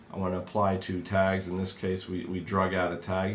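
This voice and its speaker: A man's fairly low voice with audible room echo. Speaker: software trainer. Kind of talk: tutorial.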